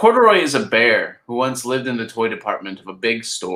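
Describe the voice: What you hear is plain reading aloud.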